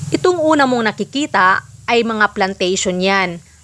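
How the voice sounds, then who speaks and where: A woman talks at a medium pitch, her tone bright and sharp. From Philippines, rural province. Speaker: vlogger. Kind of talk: vlog narration.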